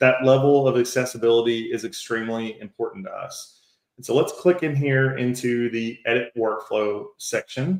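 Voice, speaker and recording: Using an American accent, a man talks at a moderate pace and medium pitch, with ordinary pitch variation and big swings in loudness. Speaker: AI agent workshop instructor and entrepreneur. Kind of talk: live tutorial demo. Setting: online livestream webinar. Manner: conversational.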